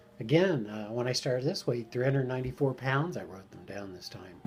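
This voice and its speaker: Music plays in the background as a man talks with ordinary pitch variation at a medium pitch. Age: 60s. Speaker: weight-loss surgery vlogger. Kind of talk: personal video diary update. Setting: at home. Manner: halting, many fillers.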